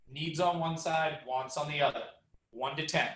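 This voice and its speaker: At a moderate pace, a man speaks in a fairly high pitch, with audible room echo around him. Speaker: real estate agent and trainer. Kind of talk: training presentation. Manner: loud; animated.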